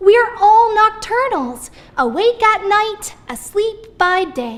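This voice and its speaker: A woman's put-on character voice, extremely high in pitch, very slow, with lively intonation. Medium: read story. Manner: mild, bashful.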